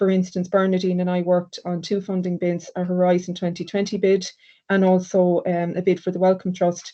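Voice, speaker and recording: Speaking at a moderate pace, a woman with an Irish accent uses a medium-pitched, dark, mellow voice in a flat monotone. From Ireland. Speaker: sociology lecturer. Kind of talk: academic presentation. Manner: hesitant with fillers.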